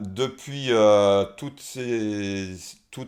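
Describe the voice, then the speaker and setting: The speaker is a man with a fairly low pitch. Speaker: person who stutters, singer and naturopath. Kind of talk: interview answer. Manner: slightly hesitant, repeats words, occasional stutter.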